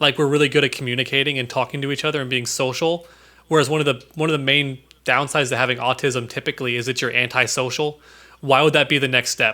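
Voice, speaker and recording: A man with an American accent speaks very fast in a fairly high voice. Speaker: podcast co-host. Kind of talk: casual chat. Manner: animated.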